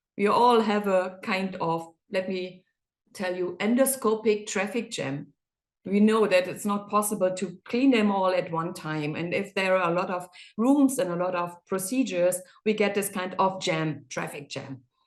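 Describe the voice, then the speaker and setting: A woman speaks at a moderate pace with a German accent. The background is quiet. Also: medium pitch for a woman, ordinary pitch variation. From Germany. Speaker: endoscopy reprocessing specialist. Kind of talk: webinar presentation. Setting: online webinar. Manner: halting.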